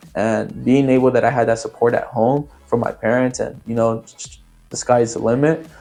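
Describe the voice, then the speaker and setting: With music in the background, a man speaks at a moderate pace in a medium pitch with fairly even intonation. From San Francisco Bay Area, California (Oakland, Antioch). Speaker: community member sharing life story. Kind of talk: interview testimony. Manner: halting, many fillers.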